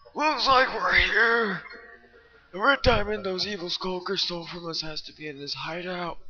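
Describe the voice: A man uses a put-on character voice, high-pitched, raised and projected. He keeps a moderate pace over faint background music.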